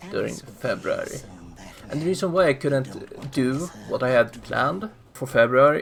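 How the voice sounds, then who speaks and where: Over music in the background, a man talks at a moderate pace and a fairly high pitch. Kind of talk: casual channel update voiceover. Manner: speaking somewhat loudly.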